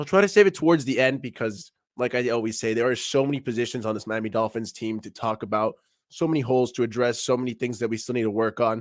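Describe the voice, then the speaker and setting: Very clean and silent in the background, the recording features a man. He talks very fast at a medium pitch. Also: ordinary pitch variation. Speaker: sports podcaster. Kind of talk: live stream sports talk. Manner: casual, energetic.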